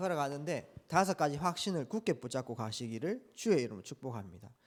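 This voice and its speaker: Recorded very cleanly with a silent background, a man talks at a fairly quick pace. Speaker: pastor. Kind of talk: sermon.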